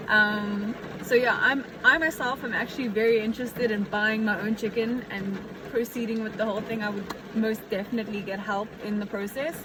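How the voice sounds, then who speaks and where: Delivered at a fairly quick pace with fairly even intonation, the speech comes with noticeable background noise. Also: woman, fairly high pitch for a woman. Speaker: aspiring farmer vlogger. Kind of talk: casual vlog talk. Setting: outdoors in the rain. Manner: loud; hesitant, many fillers.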